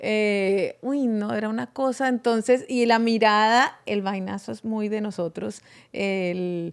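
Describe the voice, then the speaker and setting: In a strong Colombian accent, a woman with a fairly high pitch speaks at a very slow pace with ordinary pitch variation on a very clean recording with a silent background. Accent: Bucaramanga Colombian, strong. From Colombia, Bucaramanga. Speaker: podcast guest. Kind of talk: casual chat.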